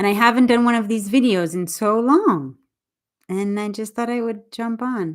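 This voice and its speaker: A woman at a moderate pace and fairly high pitch with ordinary pitch variation, an ordinary speaking voice, in a very clean recording with a silent background. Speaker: English teacher. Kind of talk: livestream chat. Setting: YouTube live stream.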